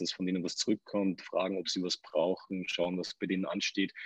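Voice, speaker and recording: A man talks at a fairly quick pace. The sound is dry and close with no echo. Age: 30s. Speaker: entrepreneur. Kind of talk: interview.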